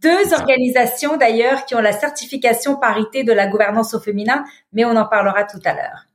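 A woman's fairly high voice, lively in intonation, at a fairly quick pace. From Lebanon. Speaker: business leader and nonprofit founder. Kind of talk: interview. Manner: hesitant fillers.

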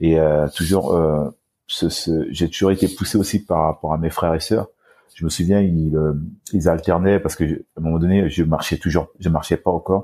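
A man's very deep, low voice with a dark, mellow tone, monotone, flat intonation and a moderate pace. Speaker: para-athlete bodybuilder. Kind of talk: casual chat. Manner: halting.

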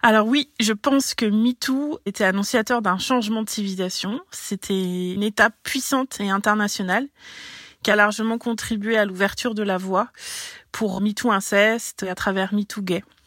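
Recorded very cleanly against a silent background, with a dry, close sound and no echo, a woman speaks in a normal speaking voice at a moderate pace, fairly high in pitch with fairly even intonation. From French overseas territory, Breton. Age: 30s. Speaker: local politician and ecology activist. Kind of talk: prepared reaction statement.

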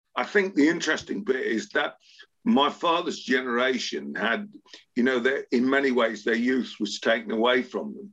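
With an English accent, a man talks. The pitch of his voice swings very widely. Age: 70s. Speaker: sports agent. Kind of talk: interview.

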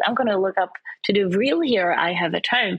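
A woman with a plain, everyday voice, medium pitch and ordinary pitch variation, at a fairly quick pace. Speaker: presenter and fashion model. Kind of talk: casual interview chat.

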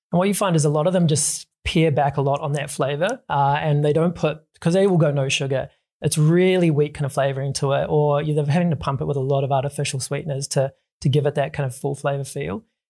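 A man speaks very fast in a somewhat breathy, dark, mellow tone at fairly high pitch, with fairly even intonation on a very clean recording with a silent background. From New Zealand. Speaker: drinks company co-founder. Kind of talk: interview.

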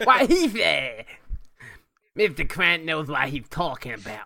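A man's put-on character voice, high-pitched for a man. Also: fairly slow pace. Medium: actual play. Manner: blunt, simple.

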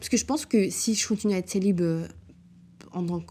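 Somewhat breathy and dark, mellow in tone, a woman speaks at a fairly quick pace on a very clean recording with a silent background. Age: 20s. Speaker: podcast host. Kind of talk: solo casual monologue. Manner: chatty, frequent fillers, English code-switching.

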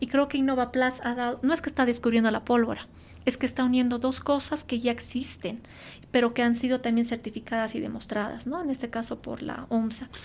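A woman's high-pitched voice, fairly quick and monotone with flat intonation. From Bolivia, La Paz. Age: 30s. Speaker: industrial engineer and green entrepreneur. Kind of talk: interview.

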